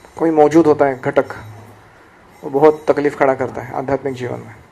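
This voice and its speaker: Noticeable background noise surrounds the recording. A man speaks with a Marathi accent. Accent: Marathi-accented Hindi, self-described. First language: Marathi (speaking Hindi). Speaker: spiritual teacher. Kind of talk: lecture.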